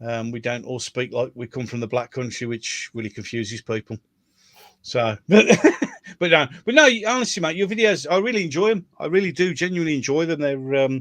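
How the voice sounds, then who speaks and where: Talking at a fairly quick pace with a Birmingham accent, a man uses a fairly high pitch and very wide pitch swings. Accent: Brummie. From Birmingham, England. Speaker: YouTube host. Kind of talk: casual chat. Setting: livestream.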